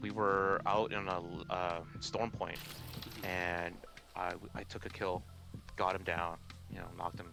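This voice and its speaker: Music playing behind a man speaking very deep and low. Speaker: gamer and video creator. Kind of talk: casual chat.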